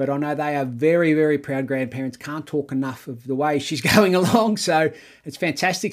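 Speaking with an Australian accent, a man talks at a moderate pace and a fairly high pitch, with ordinary pitch variation. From Melbourne, Australia. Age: 40s. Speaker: cricket podcast host. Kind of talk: casual podcast chat.

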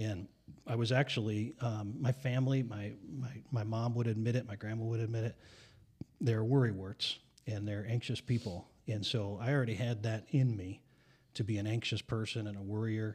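A somewhat breathy man's voice at medium pitch, moderate in pace, with fairly even intonation. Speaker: pastor.

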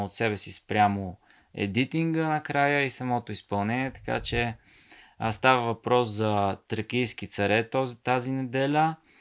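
A man with a plain, everyday voice talks at a medium pitch and a fairly slow pace with ordinary pitch variation, on a very clean recording with a silent background. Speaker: author and ultramarathon runner. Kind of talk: casual chat.

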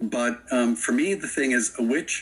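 A man with an American accent speaks fairly slowly at a medium pitch in an ordinary speaking voice. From Florida. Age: 60s. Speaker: witch and author. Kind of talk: interview.

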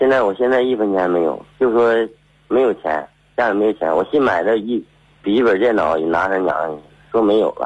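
A man talks at a moderate pace with very even loudness and ordinary pitch variation. His fairly low pitch comes with an ordinary speaking voice. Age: 30s. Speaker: caller, car driver. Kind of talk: telling his story on air. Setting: phone call.

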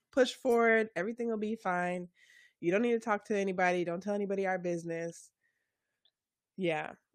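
A woman with an American accent speaks at a medium pitch and a fairly quick pace, with long, frequent pauses. Her intonation is fairly even, and the recording is very clean with a silent background. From US, Jamaican family. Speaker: podcast host. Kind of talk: casual interview.

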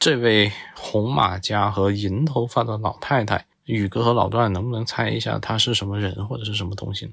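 Speaking at a moderate pace, a man with a fairly low pitch uses fairly even intonation and vocal fry. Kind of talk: storytelling.

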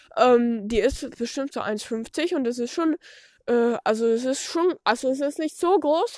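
At a very slow pace, a woman talks with a high pitch. Her intonation is lively. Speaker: podcaster. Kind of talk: casual solo monologue while doing farm chores. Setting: outdoors at a horse stable. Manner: halting, many fillers.

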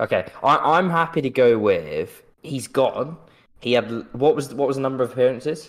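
With fairly even intonation, a man uses a normal speaking voice pitched fairly high. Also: moderate pace. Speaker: podcast host. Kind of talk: casual chat.

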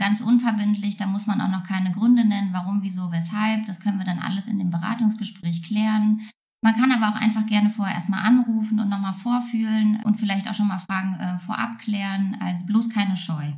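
A woman speaks in a plain, everyday voice with hardly any pauses. Her medium-pitched delivery keeps a fairly even intonation. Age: 30s. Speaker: counsellor. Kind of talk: interview.

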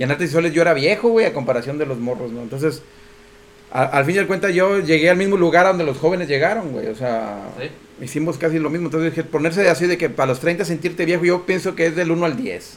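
This man talks at a very fast pace with a fairly high pitch and ordinary pitch variation. Noticeable background noise runs under his voice. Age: 40s. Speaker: podcast co-host. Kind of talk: casual chat.

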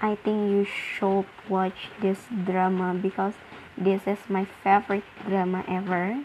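Over noticeable background noise, a woman speaks at a very slow pace with an Indonesian accent. Her intonation is monotone and flat. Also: medium pitch for a woman. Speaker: podcaster. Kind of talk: casual monologue. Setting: at home. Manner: halting.

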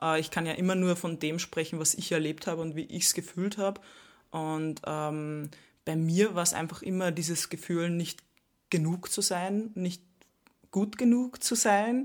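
In a very clean recording with a silent background, a woman with a plain, everyday voice speaks at a fairly slow pace with ordinary pitch variation. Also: fairly low pitch for a woman. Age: 20s. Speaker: YouTuber and influencer. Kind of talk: casual interview. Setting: recorded at a retreat.

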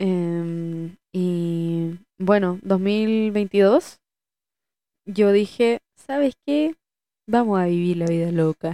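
A woman's medium-pitched voice, dark and mellow in tone, at a very slow pace with ordinary pitch variation, in a dry, close sound with no echo. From Chile. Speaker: podcast co-host, actress. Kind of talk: casual chat.

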